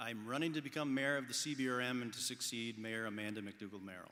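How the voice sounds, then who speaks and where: A man talks at a very fast pace in a bright, sharp tone, with audible echo from the room. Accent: Cape Breton. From Cape Breton, Nova Scotia. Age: 40s. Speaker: mayoral candidate. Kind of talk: candidate debate statement. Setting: stage with audience.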